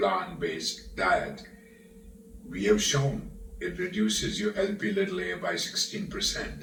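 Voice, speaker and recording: The pace of this man's speech is fairly slow. Room echo is audible, along with noticeable background noise. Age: 70s. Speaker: cardiologist. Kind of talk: interview. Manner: halting.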